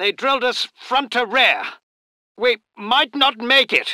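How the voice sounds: A man puts on a character voice with an extremely high pitch, a bright, sharp tone and lively intonation. He speaks at a slow pace in a dry, close sound with no echo.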